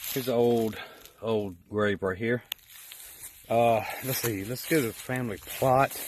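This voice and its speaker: A man speaks at a fairly slow pace with long, frequent pauses, a medium pitch and fairly even intonation. Noticeable background noise runs behind him. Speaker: paranormal investigator. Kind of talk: walkthrough video commentary. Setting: outdoors. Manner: casual.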